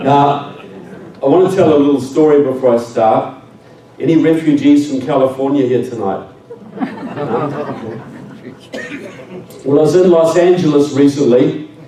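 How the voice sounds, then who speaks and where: A man's fairly high voice with ordinary pitch variation, a moderate pace, long and frequent pauses, audible room echo and noticeable background noise. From New Zealand. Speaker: public speaker. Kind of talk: speech to an audience. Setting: stage with audience.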